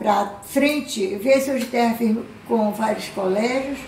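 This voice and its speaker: A woman's fairly high voice with fairly even intonation at a fairly slow pace, amid noticeable background noise and audible room echo. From Belém, Pará, northern Brazil. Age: 70s. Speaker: community resident. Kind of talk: documentary interview.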